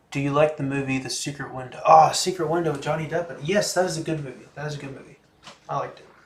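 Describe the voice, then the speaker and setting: A man with an American accent talks at a very fast pace, his fairly high pitch carried on fairly even intonation, with big swings in loudness and noticeable background noise. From USA. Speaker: livestreamer with schizophrenia. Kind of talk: livestream chat, reading and answering viewer comments. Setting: home library livestream. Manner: casual, hesitant with fillers.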